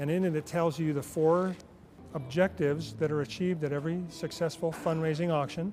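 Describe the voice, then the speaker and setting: An ordinary speaking voice: a man at a fairly high pitch, with fairly even intonation. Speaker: professional charity auctioneer. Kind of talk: interview answer, casual conversational talk about his career.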